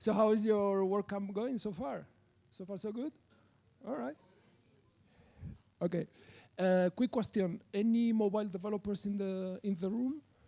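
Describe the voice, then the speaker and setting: This man, with a slight Spanish accent, has a high pitch and a dark, mellow tone. He leaves long, frequent pauses on a very clean recording with a silent background. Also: ordinary pitch variation, moderate pace. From Spain. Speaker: software developer, conference speaker. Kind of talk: conference talk. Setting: stage with audience. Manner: hesitant with fillers and repetitions.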